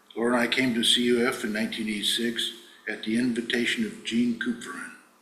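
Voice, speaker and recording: A man speaks very fast in a monotone, flat delivery at a medium pitch. Room echo is audible, and background noise is noticeable. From US Northwest, central Washington. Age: 70s. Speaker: fruit grower speaking at congregation. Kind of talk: personal testimony. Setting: church service.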